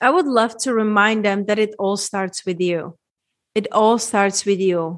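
A woman with a Czech accent, medium pitch and fairly slow pace against a quiet background. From Czech Republic, small town. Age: 30s. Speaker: women's transformation coach. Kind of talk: interview conversation.

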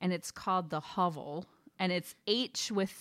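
A woman speaks at a fairly slow pace with a medium pitch. Her intonation is fairly even. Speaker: podcast co-host. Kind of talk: casual chat. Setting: recorded podcast. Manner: dynamic, expressive voice.

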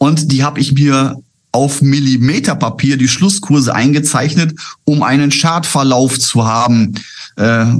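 There is audible room echo as a man talks at a medium pitch with fairly even intonation. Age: 50s. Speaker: trader, former broker. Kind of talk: interview.

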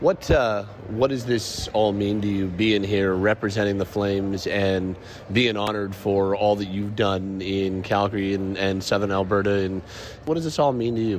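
Noticeable background noise runs behind a man with a fairly low pitch. He talks at a moderate pace with fairly even intonation. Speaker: sports reporter. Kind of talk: interview. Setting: on location at awards red carpet.

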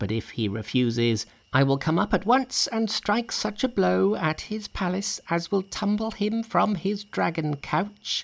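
Using a put-on character voice, a man speaks high-pitched with vocal fry and lively intonation, at a fairly slow pace with few pauses.

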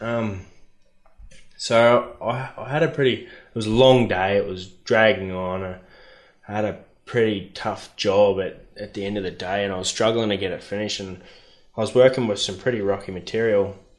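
Speaking with an Australian accent, a man with fairly low pitch keeps a moderate pace and fairly even intonation. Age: 20s. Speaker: mine dozer operator. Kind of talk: casual chat.

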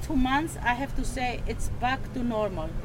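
Amid noticeable background noise and audible room echo, a woman with a Greek accent speaks at a high pitch with fairly even intonation. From Greece, Thessaloniki. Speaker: food cart owner. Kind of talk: casual interview. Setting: outdoors at food cart.

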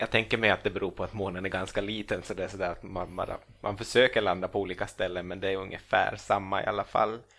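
Flat and monotone, a man with a fairly low pitch rattles along at a very fast pace. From Finland, Ostrobothnia (Swedish-speaking). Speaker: comedian and author. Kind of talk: casual chat. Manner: halting, many repeated words.

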